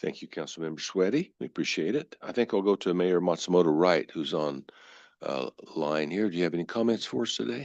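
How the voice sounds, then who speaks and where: In a dry, close sound with no echo and a quiet background, a man with a very deep, low pitch and vocal fry speaks at a fairly quick pace with lively intonation. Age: 70s. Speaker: board chair. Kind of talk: chairing a public board meeting.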